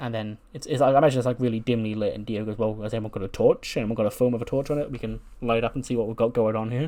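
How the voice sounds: The delivery uses a natural reading voice. Intonation stays fairly even throughout.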